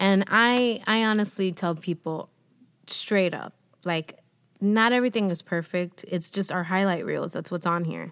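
A woman with a Spanish accent talks at a fairly slow pace. The recording is very clean with a silent background. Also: medium pitch for a woman, ordinary pitch variation. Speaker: podcast host and actress. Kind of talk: casual interview chat.

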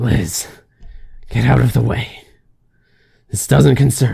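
A put-on character voice growls, breathy, at a fairly slow pace. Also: man.

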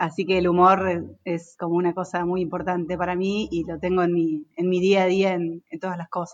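A woman in a Rioplatense accent, monotone and flat in intonation. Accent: Argentine Spanish (rioplatense). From Argentina, Entre Ríos. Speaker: construction company director. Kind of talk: casual interview.

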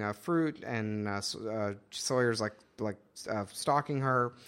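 The recording is very clean, with a silent background. A man talks fairly slowly in an unremarkable speaking voice, with ordinary pitch variation. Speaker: podcast host. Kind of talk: casual chat.

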